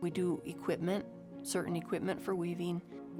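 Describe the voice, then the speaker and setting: Fairly unhurried speech from a woman, backed by music. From Northern New Mexico. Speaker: weaver and wool shop owner. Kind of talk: documentary interview answer.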